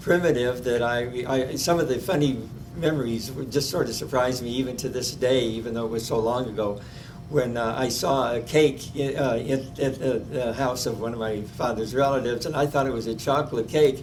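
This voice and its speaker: A man with a Midwestern US accent, medium-pitched, at a moderate pace with fairly even intonation, plus noticeable background noise and audible room echo. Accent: US Midwest. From Omaha, Nebraska. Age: 90s. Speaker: oral history interviewee. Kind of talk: oral history interview. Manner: halting, many fillers.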